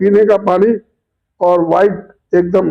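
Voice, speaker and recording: A man's dark, mellow tone, high in pitch, with fairly even intonation. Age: 80s+. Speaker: commentator. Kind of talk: opinion monologue.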